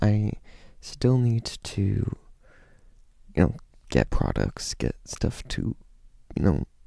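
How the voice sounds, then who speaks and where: A man speaks quietly in a dark, mellow tone. His pace is very slow. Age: 20s. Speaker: youtuber. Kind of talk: casual vlog talk. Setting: at home. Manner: kept quiet.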